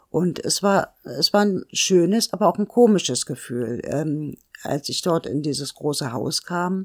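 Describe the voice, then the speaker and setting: A woman speaks at a fairly slow pace in a normal speaking voice, fairly low and with lively intonation. The sound is dry and close with no echo. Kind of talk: interview.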